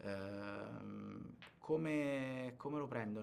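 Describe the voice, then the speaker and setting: A man's voice comes with audible room echo. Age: 20s. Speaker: actor. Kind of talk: interview. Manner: halting, many fillers and repetitions.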